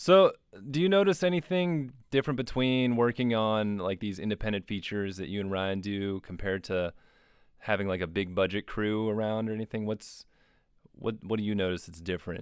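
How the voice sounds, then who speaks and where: Speaking at a fairly quick pace, a man with a fairly low pitch and ordinary pitch variation has an unremarkable speaking voice. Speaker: podcast host. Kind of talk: casual interview chat.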